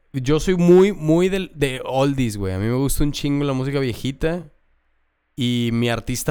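A plain, everyday voice from a man, medium-pitched, with lively intonation at a moderate pace, on a very clean recording over a silent background. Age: 30s. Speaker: comedian. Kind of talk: casual chat.

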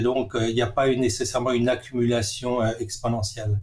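The man's voice sits at a medium pitch. He delivers everything in a flat monotone. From Alsace, France (Strasbourg). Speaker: software engineering professor. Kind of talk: interview. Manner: hesitant, many filler sounds.

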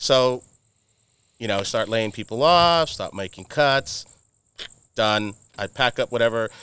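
A man with an American accent speaks at a medium pitch and fairly slow pace, his tone bright and sharp with ordinary pitch variation. Long, frequent pauses break up his speech on a very clean recording with a silent background. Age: 40s. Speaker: automotive marketing agency owner. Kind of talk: casual chat. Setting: outdoors.

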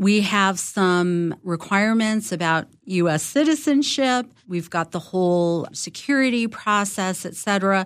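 A woman with a medium-pitched voice speaks at a fairly slow pace with lively intonation and hardly any pauses, on a very clean recording with a silent background. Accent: American. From Los Angeles, US. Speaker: former intelligence executive. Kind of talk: interview.

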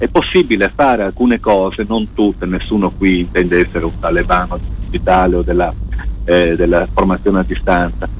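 A man's very deep, low pitch, with lively intonation and a fairly quick pace over noticeable background noise. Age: 40s. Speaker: radio tech columnist. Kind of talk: radio chat. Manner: halting.

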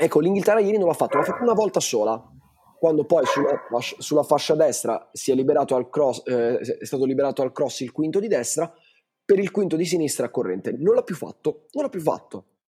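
At a fairly quick pace, a man with a fairly high pitch speaks in a dark, mellow tone. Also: lively intonation. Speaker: podcast co-host. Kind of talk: casual chat about football.

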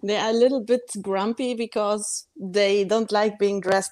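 In a German accent, a woman speaks at a medium pitch and a moderate pace. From Germany, Bavaria. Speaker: author. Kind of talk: casual chat.

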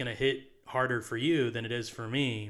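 A man talks at a fairly slow pace in a normal speaking voice. His pitch is medium. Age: 20s. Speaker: podcast co-host. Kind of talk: casual chat.

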